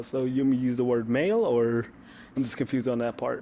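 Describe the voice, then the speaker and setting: Speaking very fast, a man talks with an Ethiopian accent. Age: 20s. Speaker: dating show contestant. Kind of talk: casual chat. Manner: halting, many fillers.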